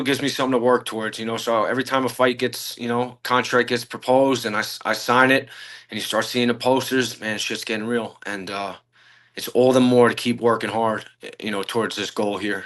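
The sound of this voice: A man talks at a fairly quick pace with a medium pitch and a bright, sharp tone. His intonation stays fairly even.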